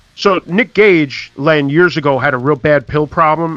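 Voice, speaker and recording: Music plays in the background as a man speaks. He goes at a fairly slow pace with ordinary pitch variation. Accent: New York. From New York, the Bronx. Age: 40s. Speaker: podcast host. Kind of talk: casual chat.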